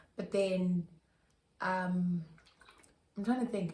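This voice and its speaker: A woman speaks somewhat breathily at a fairly slow pace and a medium pitch. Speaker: YouTuber. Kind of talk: casual chat. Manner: animated.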